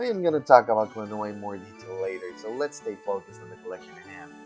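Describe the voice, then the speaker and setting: A man's very fast speech over background music. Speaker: video game reviewer. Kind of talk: casual game review talk. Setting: home recording, poor audio.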